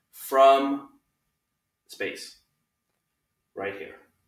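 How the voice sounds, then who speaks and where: A man speaks very slowly, with audible room echo. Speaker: teacher. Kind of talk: casual class announcement. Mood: friendly, upbeat. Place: home room. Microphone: camera far.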